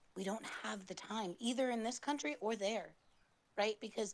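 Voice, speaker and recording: With an American accent, a woman talks in a plain, everyday voice at a medium pitch, her intonation lively. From United States. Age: 30s. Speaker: caller. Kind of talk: political call-in commentary.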